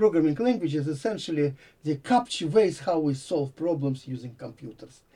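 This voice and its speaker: A man with a dark, mellow, somewhat breathy tone speaks at a fairly high pitch and moderate pace, his intonation lively. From Latvia (Riga). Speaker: computer science professor. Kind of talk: interview. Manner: halting.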